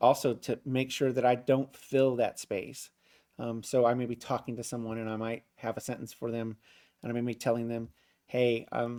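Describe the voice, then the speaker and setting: A man speaks at medium pitch in a dark, mellow tone with monotone, flat intonation. The recording is very clean, the background silent. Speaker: leadership coach. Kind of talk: tutorial. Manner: fast; casual, with many fillers.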